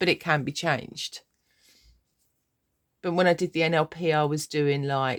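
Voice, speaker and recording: Long, frequent pauses break up the speech of a woman with a southern English accent and a very deep, low pitch. Her intonation is fairly even, and the sound is dry and close with no echo. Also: moderate pace. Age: 60s. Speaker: life coach vlogger. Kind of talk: personal vlog monologue. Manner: casual, rambling.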